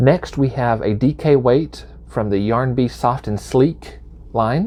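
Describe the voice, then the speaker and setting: This man has a Southern US accent. He talks at a very slow pace. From US South. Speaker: knitting video creator. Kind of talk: tutorial. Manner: casual with frequent fillers.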